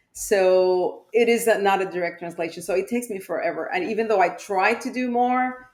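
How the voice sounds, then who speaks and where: A woman with a Spanish accent, medium pitch and ordinary pitch variation, at a fairly quick pace with hardly any pauses. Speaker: pediatrician. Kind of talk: podcast interview.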